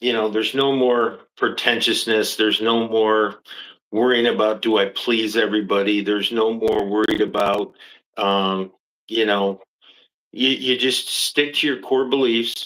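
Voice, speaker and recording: In an unremarkable speaking voice of medium pitch, a man talks at a fairly slow pace with very even loudness, on a very clean recording with a silent background. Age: 60s. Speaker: football coach. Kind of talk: interview.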